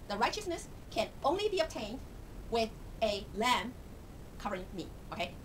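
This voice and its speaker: A woman speaks at a fairly high pitch with very wide pitch swings. Audible room echo and noticeable background noise fill the recording. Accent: Chinese. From Taiwan. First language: Mandarin Chinese. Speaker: Bible teacher. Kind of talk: informal Bible lesson. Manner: halting, with frequent fillers.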